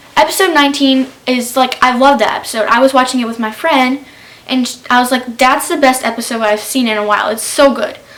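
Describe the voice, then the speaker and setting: Noticeable background noise sits behind this recording. A woman with a high pitch speaks at a fairly quick pace. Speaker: YouTuber. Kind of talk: casual TV recap. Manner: fast.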